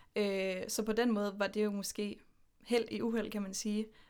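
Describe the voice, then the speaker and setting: In a very clean recording with a silent background, a woman with a medium pitch speaks in a monotone, flat intonation. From Denmark, Horsens. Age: 20s. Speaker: podcast guest. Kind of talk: casual interview.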